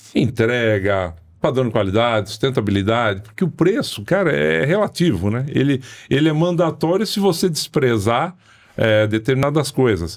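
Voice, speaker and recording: Very wide pitch swings in a man's voice at a medium pitch, captured on a very clean recording over a silent background. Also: moderate pace, very even loudness. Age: 60s. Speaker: sales expert. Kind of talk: podcast interview.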